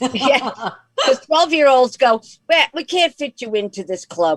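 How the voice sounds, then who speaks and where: A woman speaks at a high pitch with very wide pitch swings. The sound is dry and close, with no echo. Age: 60s. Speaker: comedian. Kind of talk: casual chat.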